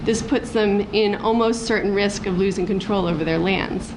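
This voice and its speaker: A woman talks at a fairly quick pace with fairly even intonation. Room echo is audible and there is noticeable background noise. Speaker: activist. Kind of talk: conference talk, partly read from notes. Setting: workshop panel with audience. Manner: halting, many false starts.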